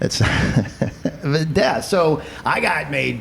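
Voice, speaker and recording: An animated man with lively intonation, audible room echo and noticeable background noise. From eastern Kentucky, Appalachia. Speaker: podcast host and comedian. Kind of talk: casual chat.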